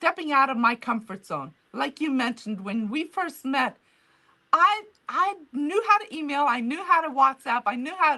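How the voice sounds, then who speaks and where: A woman with a non-native accent speaks in a raised, projected voice that is high, bright and sharp, with very wide pitch swings. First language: not English. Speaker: author and museum founder. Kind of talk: interview. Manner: halting.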